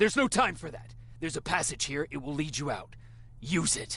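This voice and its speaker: Putting on a character voice, a man talks at a fairly quick pace in a fairly high pitch. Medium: video game. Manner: curt, urgent.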